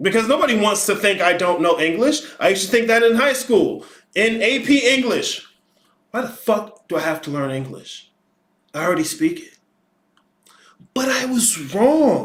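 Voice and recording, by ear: With big pitch swings and a fairly bright tone, a man talks at a fairly slow pace in a high pitch.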